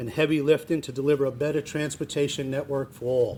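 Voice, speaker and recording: A man with a northern New Jersey accent speaks at a fairly quick pace. His intonation is fairly even. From New Jersey, Jersey City. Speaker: state transportation official. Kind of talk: public speech. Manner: hesitant, many fillers and restarts.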